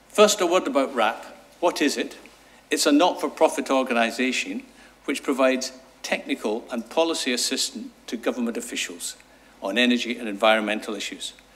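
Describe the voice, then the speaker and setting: Speaking with a Scottish accent, a man moves at a fairly quick pace with lively intonation and a medium pitch. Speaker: sustainable energy consultant. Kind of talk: conference talk. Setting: seminar with audience.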